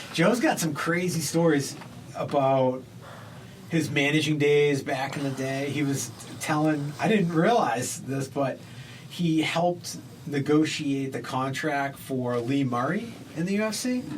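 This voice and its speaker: Over noticeable background noise and audible room echo, a man with a fairly high pitch talks at a fairly slow pace with ordinary pitch variation. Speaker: comedian podcast host. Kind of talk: casual chat. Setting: studio.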